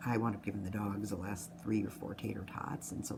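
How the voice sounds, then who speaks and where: A woman talks at a very fast pace. Noticeable background noise can be heard. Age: 60s. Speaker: nurse sharing a weight-loss surgery update. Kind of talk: personal video diary. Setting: office at work. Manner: fast-talking.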